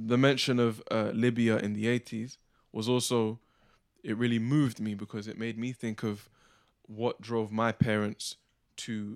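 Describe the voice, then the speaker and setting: In a very clean recording with a silent background and a dry, close sound with no echo, a man speaks at medium pitch in a monotone, flat intonation. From England, Ugandan family. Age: young. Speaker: spoken word artist. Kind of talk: spoken word performance. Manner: rhythmic.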